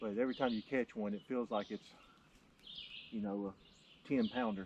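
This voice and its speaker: Speaking at a moderate pace, a man with a fairly low pitch keeps fairly even intonation but shows big swings in loudness. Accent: North Louisiana. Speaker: preacher and fly fisherman. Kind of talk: casual chat while fishing. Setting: outdoors at a pond.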